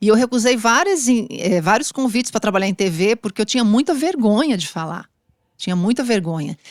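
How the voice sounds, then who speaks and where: This woman has an unremarkable speaking voice, pitched fairly high, with lively intonation and a fairly quick pace. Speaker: journalist. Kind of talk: interview.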